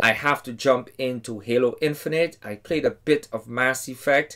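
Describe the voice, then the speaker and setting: Light background noise sits behind a man whose voice shows ordinary pitch variation. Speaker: game reviewer. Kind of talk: casual review commentary. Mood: enthusiastic. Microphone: headset.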